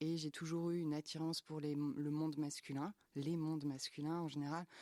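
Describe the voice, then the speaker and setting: In a dry, close sound with no echo, a man with a fairly high pitch talks at a moderate pace in a dark, mellow tone, with very even loudness and monotone, flat intonation. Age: 30s. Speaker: youtuber and streamer. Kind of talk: interview.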